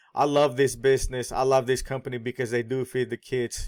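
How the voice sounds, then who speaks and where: A man with a non-native accent speaks at a moderate pace and medium pitch, with a dry, close sound with no echo on a very clean recording with a silent background. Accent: foreign accent audible. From born abroad, immigrant. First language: not English. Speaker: online marketing vlogger. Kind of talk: sales pitch.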